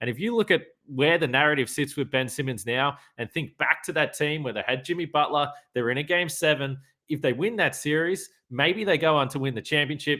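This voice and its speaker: The speaker is a man with an Australian accent. He keeps a fairly quick pace. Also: fairly high pitch for a man, ordinary pitch variation. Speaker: sports podcast host. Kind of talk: casual chat.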